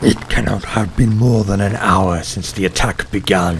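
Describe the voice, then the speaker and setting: Over clear background noise, a man uses a put-on character voice at a fairly low pitch. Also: moderate pace. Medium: read story.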